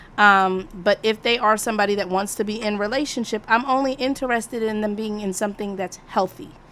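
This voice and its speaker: A woman's normal speaking voice, fairly high in pitch, at a fairly quick pace with fairly even intonation and hardly any pauses. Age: 40s. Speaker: live stream discussion host. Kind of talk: casual moderated discussion.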